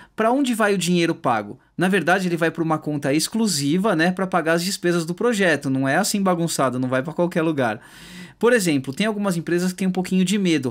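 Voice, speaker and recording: A man speaks very fast in a high voice with lively intonation. The recording is very clean with a silent background. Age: 30s. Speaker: YouTuber explaining law, music teacher. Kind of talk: explainer video with slides. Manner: casual, informal.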